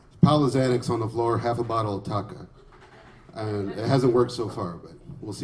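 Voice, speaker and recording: A man with an American accent speaks at a medium pitch and a fairly quick pace, with ordinary pitch variation. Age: 30s. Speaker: stand-up comedian. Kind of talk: stand-up comedy set.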